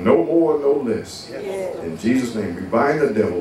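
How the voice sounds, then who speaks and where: Audible room echo and noticeable background noise surround a man speaking at a fairly slow pace. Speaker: preacher. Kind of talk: prayer and sermon. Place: church.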